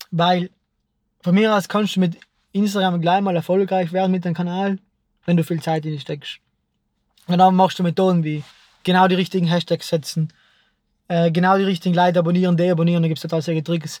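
With a South Tyrolean accent, a man speaks at a fairly quick pace in a high pitch, his intonation monotone and flat, broken by long, frequent pauses. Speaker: filmmaker. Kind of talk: casual chat.

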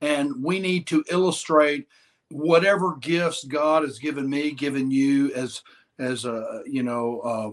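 A man with a Southern US accent speaks at a fairly slow pace in a fairly high pitch, with ordinary pitch variation. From Mississippi. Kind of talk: casual interview chat.

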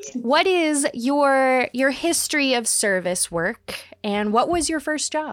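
A woman with a high voice speaks at a very slow pace yet with hardly any pauses. Her intonation is lively. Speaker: podcast co-host. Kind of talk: casual interview.

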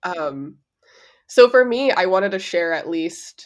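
Her pace is fairly slow. The woman's pitch varies in an ordinary way. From East Los Angeles, US. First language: Spanish. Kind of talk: casual interview chat. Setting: remote call at 7:30 AM, drinking a mimosa.

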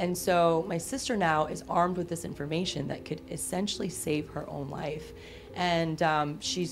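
In a very deep, low pitch, a woman speaks at a moderate pace with fairly even intonation and vocal fry. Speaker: genetic testing company founder. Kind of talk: casual chat. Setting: studio.

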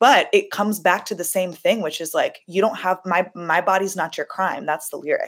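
A woman with an American accent speaks at a medium pitch and a moderate pace, with ordinary pitch variation. She hardly pauses, and the recording is very clean with a silent background. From US, Los Angeles. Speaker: singer-songwriter. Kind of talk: casual chat.

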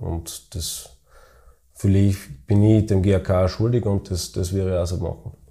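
Somewhat breathy and dark, mellow in tone, a man speaks at a fairly low pitch and a fairly slow pace, with long, frequent pauses. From Styria, Austria (Weiz). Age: 30s. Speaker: football club chairman and business owner. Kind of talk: interview. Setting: office. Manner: halting.

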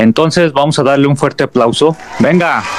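Noticeable background noise sits behind a man speaking with a central Mexican accent. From Mexico, León, Guanajuato. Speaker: podcast host. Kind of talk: show intro; casual interview.

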